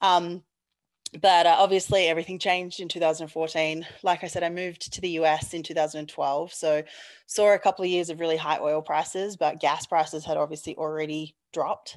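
Speaking fairly quickly in a very deep, low pitch, a woman with an Australian accent keeps a monotone, flat intonation against a quiet background. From Australia, Perth. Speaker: petroleum engineer. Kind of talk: interview.

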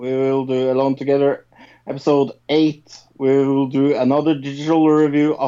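The passage is read out plainly. Nothing more is added to the reading.

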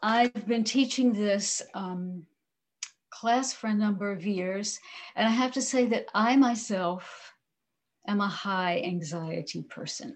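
A woman talks at a very slow pace, her voice somewhat breathy. The background is quiet. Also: medium pitch for a woman, ordinary pitch variation. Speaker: mindfulness teacher. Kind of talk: guided meditation. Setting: video call. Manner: calm.

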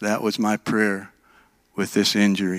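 A man with an American accent speaks at a fairly slow pace and a fairly low pitch. The recording is very clean, with a silent background. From Minnesota. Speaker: guest preacher. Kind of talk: sermon.

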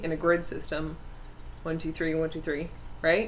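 A woman talks with a fairly low pitch. Audible room echo and noticeable background noise accompany her. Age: 20s. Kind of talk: casual chat.

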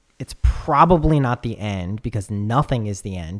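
This man has a normal speaking voice with a fairly low pitch. His intonation is lively. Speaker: podcast host. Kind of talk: casual chat. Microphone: good microphone, preamp and interface; sounds good.

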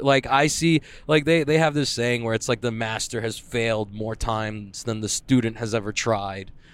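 Heard in a very clean recording with a silent background, a man has a plain, everyday voice at a medium pitch with ordinary pitch variation. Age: 20s. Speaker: jiu-jitsu competitor. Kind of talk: casual solo monologue. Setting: in a car. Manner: casual, filler-heavy.

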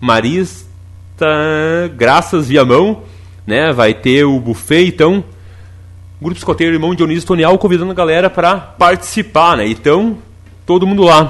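An animated man's fairly high voice at a fairly slow pace, broken by long, frequent pauses. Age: 30s. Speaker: radio host. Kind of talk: radio talk show; announcements. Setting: studio.

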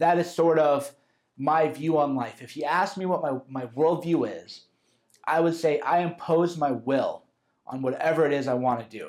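With a fairly high pitch and ordinary pitch variation, a man speaks at a moderate pace in a plain, everyday voice. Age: 30s. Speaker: author narrating his self-help audio course. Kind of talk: audiobook narration, conversational lecture. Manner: casual, informal.

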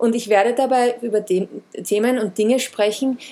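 A woman is speaking. Her tone is dark and mellow. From Austria, Vienna. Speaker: wellness podcast host. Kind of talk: podcast monologue introduction.

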